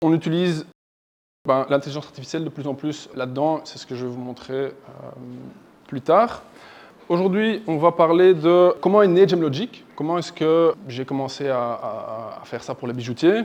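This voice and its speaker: A man with a slight non-native accent, fairly high pitch, ordinary pitch variation, a moderate pace, long and frequent pauses, and big swings in loudness. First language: not French (speaking French). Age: 30s. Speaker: software developer, company founder. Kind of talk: presentation to an audience. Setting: evening event with live audience. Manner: halting, frequent repetitions and fillers.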